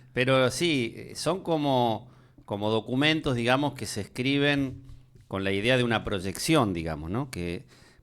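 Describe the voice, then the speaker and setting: With a Rioplatense accent, a man talks at a fairly slow pace and medium pitch, his intonation lively, in a very clean recording with a silent background. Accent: Argentine Spanish (rioplatense). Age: 60s. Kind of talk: casual discussion. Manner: hesitant with filler words.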